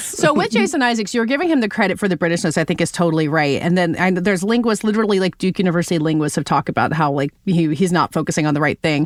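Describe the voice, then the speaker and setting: A woman with an American accent at a fairly low pitch, very fast and with hardly any pauses, lively intonation and very even loudness, over noticeable background noise. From Southern US. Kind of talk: podcast conversation.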